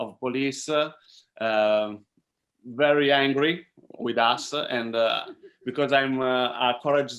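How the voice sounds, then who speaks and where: A man with an Italian accent speaks at a medium pitch. His pace is very slow, with long, frequent pauses. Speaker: filmmaker. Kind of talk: Q&A panel talk. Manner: halting.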